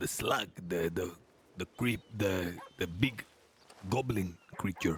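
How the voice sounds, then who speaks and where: The speaker uses a put-on character voice, moving at a very slow pace with long, frequent pauses. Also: man, very deep, low pitch for a man. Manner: menacing, comical.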